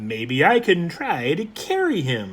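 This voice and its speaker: Using a put-on character voice, a man pitches his speech high. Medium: read story. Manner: pleasant.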